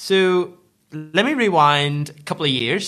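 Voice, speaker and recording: Bright and sharp in tone, a man with a Northern Irish accent speaks with ordinary pitch variation. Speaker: food retail businessman. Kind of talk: interview.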